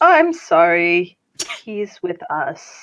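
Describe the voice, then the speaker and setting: This is a put-on character voice with a nasal quality. Its pitch swings very widely. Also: woman, medium pitch for a woman. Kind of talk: apologetic, polite. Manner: pinched nose, nasal.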